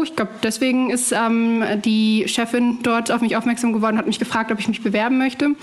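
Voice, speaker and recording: A woman speaks at a very fast pace with hardly any pauses, at a fairly high pitch. Her intonation is monotone and flat, her loudness very even, and noticeable background noise is present. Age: 20s. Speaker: journalist and presenter. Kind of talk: casual interview. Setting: remote call from home kitchen.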